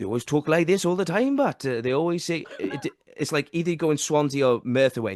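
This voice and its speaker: Speaking in a Welsh accent, a man uses lively intonation at a fairly high pitch. The sound is dry and close, with no echo. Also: fairly quick pace. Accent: Welsh, sometimes hits T's hard. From South Wales. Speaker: podcast host. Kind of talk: casual chat. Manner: animated.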